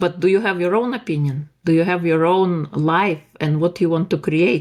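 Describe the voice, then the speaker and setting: A woman with a non-native accent speaks at a moderate pace. Her voice sits fairly low, with ordinary pitch variation. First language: not English. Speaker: life coach and author. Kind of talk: podcast interview.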